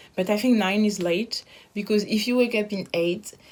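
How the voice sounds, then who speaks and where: A woman with a French accent speaks at a moderate pace and with fairly even intonation. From France. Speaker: interviewee sharing lockdown experience. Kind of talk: casual video testimony. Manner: halting.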